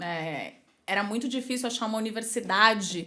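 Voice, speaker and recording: Here a woman speaks at a moderate pace. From São Paulo, Brazil. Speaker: marketing executive. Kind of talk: podcast interview. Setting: studio podcast, drinking wine. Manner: casual, conversational.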